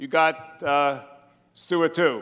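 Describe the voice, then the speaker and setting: In a Brooklyn accent, a man speaks with a bright, sharp tone in a fairly high pitch and ordinary pitch variation. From New York, Brooklyn. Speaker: priest, head of religious order. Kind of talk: welcome speech. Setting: stage with audience at gala. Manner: hesitant, many uh fillers.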